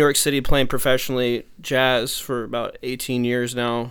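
Speaking at a moderate pace in a normal speaking voice, a man with an American accent uses a medium pitch. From Texas. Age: 30s. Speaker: aspiring music producer and YouTuber. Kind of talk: casual consultation chat.

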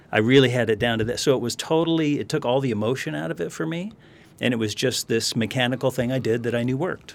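At a very fast pace, a man with a Californian accent speaks at medium pitch with ordinary pitch variation. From US West Coast, Los Angeles area. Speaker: financial planner. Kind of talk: interview conversation. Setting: studio.

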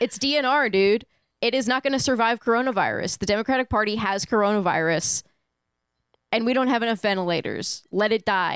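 A woman speaks at a fairly quick pace in a fairly high pitch, using an unremarkable speaking voice with ordinary pitch variation. Her loudness stays very even, and the sound is dry and close with no echo. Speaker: streaming platform staffer. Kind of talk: casual chat. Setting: remote call.

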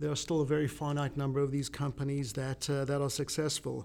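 The speaker is a man. He has a South African accent. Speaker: podcast host. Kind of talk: casual interview.

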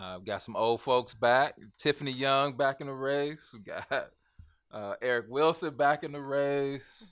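Talking with an American accent at a fairly slow pace, a man has a fairly high pitch and an unremarkable speaking voice, with ordinary pitch variation and big swings in loudness. The recording is very clean, with a silent background. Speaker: podcast guest. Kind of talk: casual chat.

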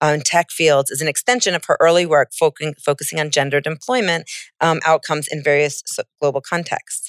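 In a very clean recording with a silent background and a dry, close sound with no echo, a woman with an American accent speaks at a moderate pace in a very deep, low voice. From United States. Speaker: biologist and panel moderator. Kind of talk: panel moderation; personal anecdote. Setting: stage with audience.

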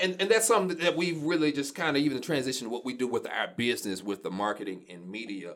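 With an American accent and vocal fry, a man speaks very fast at a fairly high pitch, swinging his pitch very widely and hardly pausing. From Shreveport, Louisiana. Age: 30s. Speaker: media company owner. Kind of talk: casual interview.

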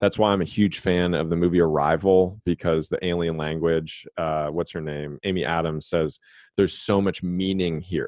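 Speaking at a moderate pace, a man uses a very deep, low voice with fairly even intonation. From Los Angeles, then Texas. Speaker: podcast host. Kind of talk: casual interview.

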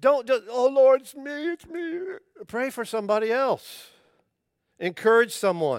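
On a very clean recording with a silent background, a man speaks at a fairly slow pace in an extremely high voice with lively intonation, the sound dry and close with no echo. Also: big swings in loudness. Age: 60s. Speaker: pastor. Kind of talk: sermon.

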